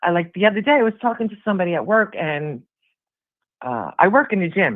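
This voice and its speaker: Speaking with a Brooklyn accent, the voice moves at a fairly quick pace. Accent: Brooklyn New York. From Brooklyn, New York. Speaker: caller, gym worker in recovery. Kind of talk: casual chat.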